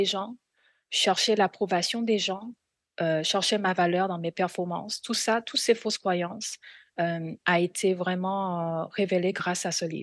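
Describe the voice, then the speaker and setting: Speaking very slowly with a Korean accent, a woman at a medium pitch is heard against a quiet background, with a dry, close sound and no echo. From South Korea. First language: Korean (speaking French). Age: 40s. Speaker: missionary. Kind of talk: testimony.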